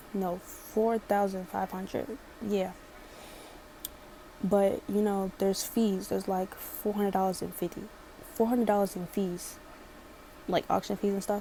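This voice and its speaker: A woman with a slight Baltimore accent speaks in a monotone with flat intonation, leaving long, frequent pauses. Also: medium pitch for a woman, moderate pace. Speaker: storytime vlogger. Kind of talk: storytime.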